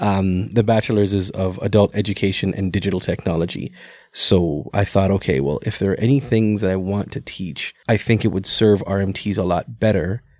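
A man's normal speaking voice at a fairly low pitch and moderate pace, with fairly even intonation, in a very clean recording with a silent background. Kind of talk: casual chat.

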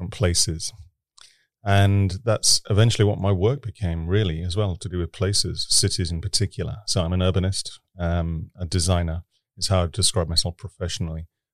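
With a British accent, a man with a very deep, low pitch speaks at a fairly quick pace and fairly even intonation on a very clean recording with a silent background. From Britain. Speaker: urban innovation expert. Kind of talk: interview conversation. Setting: studio.

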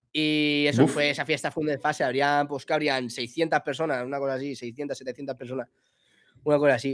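Over a silent background in a very clean recording, a man talks at a moderate pace with a fairly high pitch and monotone, flat intonation. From Spain, Alicante (Villajoyosa). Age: 20s. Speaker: DJ. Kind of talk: casual chat.

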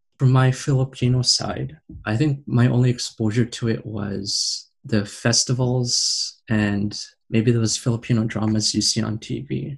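With a Canadian accent, a man talks at a fairly slow pace in a somewhat breathy voice with ordinary pitch variation. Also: medium pitch for a man. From Canada. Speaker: podcast host and panelist. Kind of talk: panel discussion.

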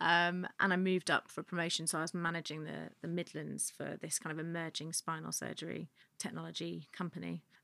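The sound is dry and close, with no echo. It is a very clean recording with a silent background. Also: woman, hardly any pauses. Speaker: festival founder. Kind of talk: casual interview.

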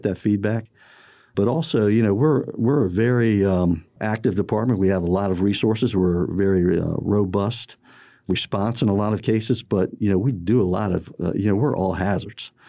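In a very clean recording with a silent background, a man with an American accent talks at a fairly quick pace in a fairly low pitch with a dark, mellow tone. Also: very even loudness. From Maryland, US (College Park, Prince George's County). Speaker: fire department public information officer. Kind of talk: interview. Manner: halting, many fillers.

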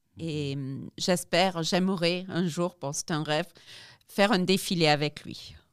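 Her voice sits fairly low for a woman, with ordinary pitch variation. The recording is very clean, with a silent background. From South Africa. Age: 50s. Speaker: amputee athlete. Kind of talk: interview. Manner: halting.

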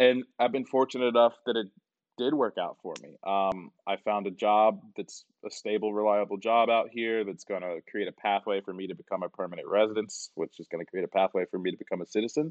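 A normal speaking voice with an American accent, at a fairly quick pace, with ordinary pitch variation and big swings in loudness. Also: man, fairly low pitch for a man. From US, Atlanta area. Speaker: IT consultant. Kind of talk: casual interview chat.

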